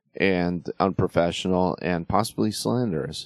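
A man with a very deep, low pitch and ordinary pitch variation speaks at a moderate pace, in a dry, close sound with no echo and a quiet background. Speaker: podcast host. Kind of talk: casual monologue on sports and wrestling.

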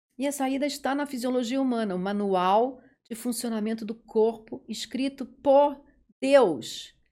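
On a very clean recording with a silent background, a woman with a high pitch and a dark, mellow tone speaks at a fairly slow pace with ordinary pitch variation. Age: 50s. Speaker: dentist. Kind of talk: interview.

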